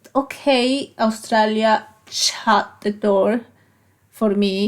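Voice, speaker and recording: With a Colombian accent, a woman talks at a fairly high pitch and keeps her intonation fairly even. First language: Spanish. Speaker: physiotherapist. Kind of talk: interview. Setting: studio. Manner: halting.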